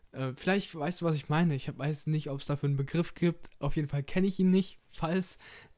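In a normal speaking voice, a man with fairly high pitch talks at a fairly quick pace with hardly any pauses and fairly even intonation, on a very clean recording with a silent background. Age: 20s. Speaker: podcast host and bank trainee. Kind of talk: casual solo podcast monologue.

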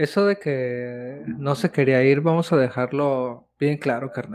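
A man speaks very slowly in a Mexican accent, his fairly high pitch moving with ordinary variation. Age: 20s. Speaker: podcast co-host. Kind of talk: casual chat.

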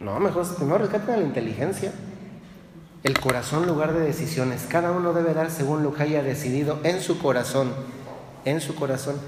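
Moderate pace and ordinary pitch variation in a central Mexican accent, with noticeable background noise and audible room echo. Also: man, fairly high pitch for a man. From Mexico, Dolores Hidalgo, Guanajuato. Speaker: priest. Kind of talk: sermon.

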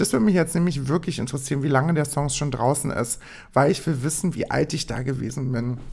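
A very fast, animated woman with a very deep, low pitch, on a very clean recording with a silent background. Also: ordinary pitch variation. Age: 20s. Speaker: solo podcast host. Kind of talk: casual monologue. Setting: home recording at own microphone.

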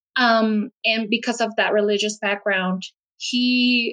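Speaking in a Puerto Rican accent, a woman talks at a fairly slow pace with fairly even intonation. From Puerto Rico. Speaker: podcast guest sharing life story. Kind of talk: personal testimony in interview.

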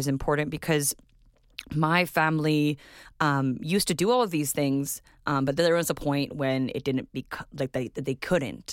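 At a moderate pace, a woman speaks with a very deep, low pitch and ordinary pitch variation, in a very clean recording with a silent background and a dry, close sound with no echo. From Winnipeg, Manitoba, Canada. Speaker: visual artist. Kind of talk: interview.

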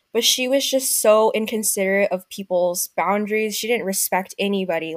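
Her speech fairly quick and with hardly any pauses, a woman with an ordinary speaking voice keeps a medium pitch and fairly even intonation on a dry, close recording with no echo. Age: 20s. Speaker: podcast guest, recent graduate. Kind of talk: casual chat.

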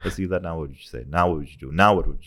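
A man speaks with a very deep, low pitch. The recording is very clean, with a silent background. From Pakistan, Lahore. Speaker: musician. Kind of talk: casual chat.

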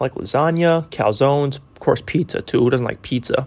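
Fairly high in pitch, a man with an American accent and an unremarkable speaking voice talks at a fairly quick pace. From Texas. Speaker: college student. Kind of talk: self-introduction monologue. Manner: casual.

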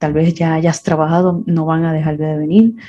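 A woman speaks at a fairly low pitch. Her tone is dark and mellow, and somewhat breathy. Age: 50s. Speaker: podcast host. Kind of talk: personal reflective monologue. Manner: hesitant, many fillers.

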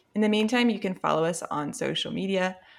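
Moving at a fairly quick pace, a woman with a medium pitch speaks in a plain, everyday voice. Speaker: podcast co-host. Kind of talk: casual chat.

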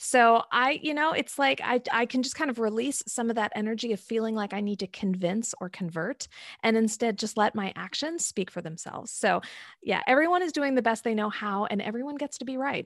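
A woman at a fairly quick pace, in a very clean recording with a silent background and a dry, close sound with no echo. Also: fairly high pitch for a woman. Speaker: coach trainer, former psychotherapist. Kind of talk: casual podcast interview.

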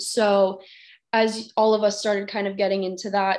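At a moderate pace, a woman with a Californian accent speaks at medium pitch with fairly even intonation against a quiet background. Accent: Californian American. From Los Angeles, California (Glendale). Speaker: college student and anti-bullying speaker. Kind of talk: interview.

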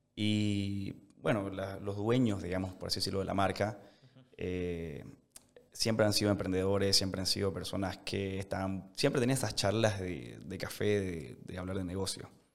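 Room echo is audible as a man speaks at a moderate pace. His pitch is fairly low with ordinary variation, and his loudness swings widely. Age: 20s. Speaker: restaurant entrepreneur. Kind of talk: casual interview.

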